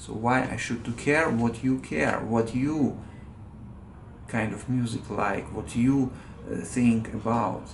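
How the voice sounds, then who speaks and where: Audible room echo surrounds a man speaking at a fairly slow pace, with medium pitch and ordinary pitch variation. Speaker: vlogger. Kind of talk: angry rant monologue. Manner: halting, many fillers.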